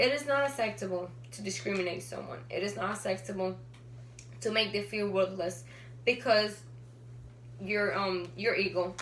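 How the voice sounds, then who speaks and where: A woman with a medium pitch speaks at a moderate pace, her pitch swinging very widely between long, frequent pauses, with audible room echo and noticeable background noise. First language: not English. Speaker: student. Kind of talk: class speech. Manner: halting.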